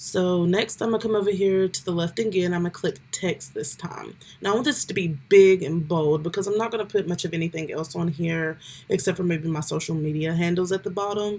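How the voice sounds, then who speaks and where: A woman talks in an ordinary speaking voice at medium pitch and a fairly quick pace, with ordinary pitch variation. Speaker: YouTuber giving tech tutorials. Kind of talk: tutorial. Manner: casual, with filler ums.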